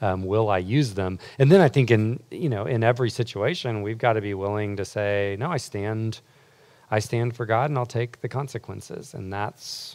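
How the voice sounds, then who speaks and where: On a very clean recording with a silent background, a man with a normal speaking voice talks at a moderate pace in a fairly low pitch with ordinary pitch variation. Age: 40s. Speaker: campus ministry leader. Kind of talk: teaching talk; panel discussion.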